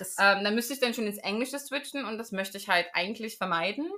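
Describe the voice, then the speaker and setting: A woman talks at a fairly quick pace in a bright, sharp tone, her pitch varying in an ordinary way. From Germany, Magdeburg area (Saxony-Anhalt). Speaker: podcast host. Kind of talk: casual chat.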